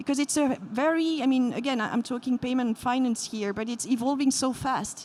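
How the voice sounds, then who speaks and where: A woman speaks with a French accent. Her pitch is high and her pace moderate. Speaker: payments company executive, panelist. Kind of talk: panel discussion.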